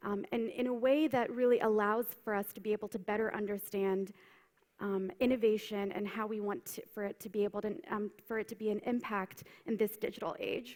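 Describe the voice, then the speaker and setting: Fairly quick and fairly even in intonation, a woman with an unremarkable speaking voice talks at a fairly high pitch with an American accent. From United States. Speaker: keynote speaker, consultant. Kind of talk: conference keynote. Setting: stage with audience.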